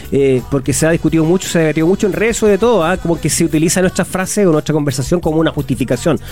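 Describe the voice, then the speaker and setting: Over music in the background, the speaker talks at a very fast pace with hardly any pauses, very even loudness and ordinary pitch variation. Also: man, fairly high pitch for a man. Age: 50s. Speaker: sports radio panelist. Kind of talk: casual sports talk show chat.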